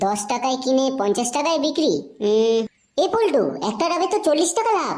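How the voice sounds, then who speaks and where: In a cartoonish character voice, a woman speaks at a high pitch and a moderate pace with very wide pitch swings. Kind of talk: comic adult cartoon dialogue. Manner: hesitant, with the habitual filler 'um, e Paltu'.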